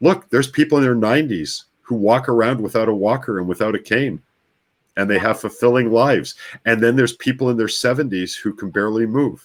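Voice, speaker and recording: A man with an unremarkable speaking voice talks at a fairly quick pace in a Canadian accent, with a medium pitch and ordinary pitch variation. The recording is very clean, with a silent background. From Canadian prairies, Winnipeg. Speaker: brainwave technology practitioner. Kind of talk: interview conversation.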